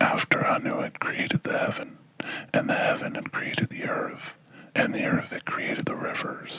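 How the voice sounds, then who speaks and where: Whispered words from a man, moderately paced, with background noise clearly noticeable. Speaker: ASMR whisperer. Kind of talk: ASMR book reading. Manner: whispered, soft-spoken.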